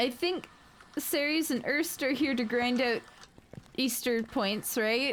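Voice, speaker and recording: A woman with a squeaky, high voice speaks at a very slow pace with long, frequent pauses, ordinary pitch variation and very even loudness. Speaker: streamer. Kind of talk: casual chat. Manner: animated.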